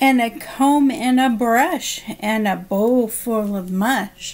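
The woman is soft-spoken, talking at a very slow pace with ordinary pitch variation. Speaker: special education assistant reading to children. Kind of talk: bedtime story read aloud to children, gentle sing-song rhythm. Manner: soft, slow and soothing, with lulling rhymed cadence; warm and friendly, addressing young listeners directly. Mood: calm, soothing. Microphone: webcam.

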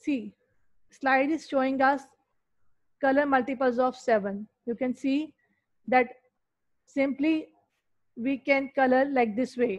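At a very slow pace with long, frequent pauses, a woman speaks at a high pitch with fairly even intonation. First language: Urdu/Hindi. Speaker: school teacher. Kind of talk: online maths lesson. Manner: slow, repetitive explaining.

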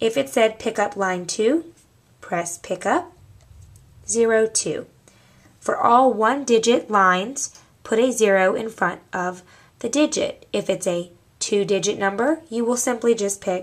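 A woman talks with lively intonation, leaving long, frequent pauses. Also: fairly slow pace. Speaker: office staff trainer. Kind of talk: tutorial. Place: office. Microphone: camera far.

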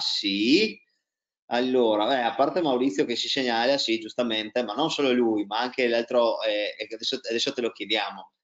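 A man talks in a normal speaking voice at medium pitch with ordinary pitch variation. The background is quiet. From Italy, Trieste; Italy. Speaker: tennis coach and interviewer; tennis coach, interviewer. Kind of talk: casual interview. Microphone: video call.

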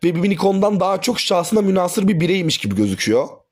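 Pitched high, a man's voice comes through. He talks at a very fast pace. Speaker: YouTuber and teacher. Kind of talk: video review. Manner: casual.

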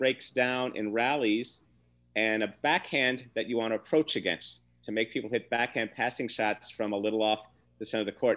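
This man talks at a very fast pace, and the background is quiet. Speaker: podcast panelist. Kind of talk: commentary. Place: home room. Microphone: webcam.

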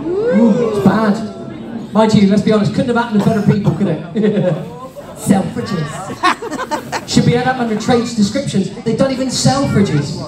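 A man talks at a fairly quick pace with long, frequent pauses over loud background noise. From Cornwall. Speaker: stand-up comedian. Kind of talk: stand-up comedy routine for a family audience. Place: stage.

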